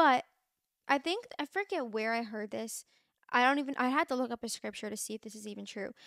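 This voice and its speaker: A woman with an American accent talks at a fairly quick pace with a high pitch and lively intonation, in a dry sound with no echo and a quiet background. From Pennsylvania, Bucks County; Pennsylvania. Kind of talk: casual faith talk, monologue to camera. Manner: chatty, filler-heavy. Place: home room. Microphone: studio mic.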